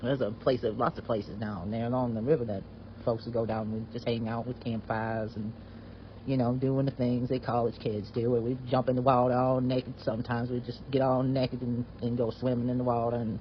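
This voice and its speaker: A man in a Southern US accent, somewhat breathy and monotone with flat intonation, at a fairly quick pace. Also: medium pitch for a man. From US South. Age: 70s. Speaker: retired veterinarian sharing a personal story. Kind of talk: personal storytelling. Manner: halting, with frequent fillers and restarts.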